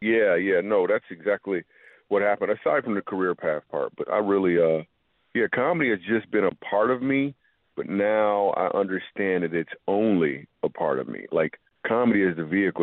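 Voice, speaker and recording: In a plain, everyday voice, a man with an American accent talks at a fairly quick pace. His pitch is fairly low and his intonation lively. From Michigan, Grand Rapids. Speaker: comedian. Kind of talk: radio interview.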